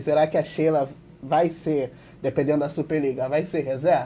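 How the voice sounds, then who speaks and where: A man speaks with a fairly high pitch and a somewhat breathy, dark, mellow tone. His intonation is monotone and flat. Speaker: volleyball YouTuber. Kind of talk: casual sports discussion.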